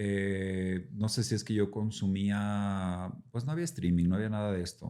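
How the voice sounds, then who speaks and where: At a fairly slow pace and with hardly any pauses, a man talks in a dark, mellow tone at a fairly low pitch, his pitch varying in an ordinary way. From central Mexico (Mexico City, Puebla, San Luis Potosí). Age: 40s. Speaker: actor. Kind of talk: casual interview chat. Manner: casual, with filler words and repetitions.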